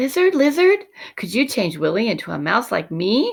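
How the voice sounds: Using a put-on character voice, a woman speaks at a moderate pace with big pitch swings and vocal fry. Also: fairly high pitch for a woman.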